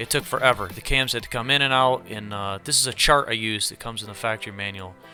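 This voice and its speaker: A man's fairly low voice at a very fast pace, fairly even in intonation, with music in the background. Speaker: hobby car builder. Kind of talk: casual build update narration. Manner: casual, halting.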